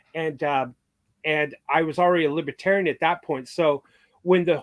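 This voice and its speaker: A man with an ordinary speaking voice talks at a moderate pace, his pitch fairly high. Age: 60s. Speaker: former lobbyist. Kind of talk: casual chat.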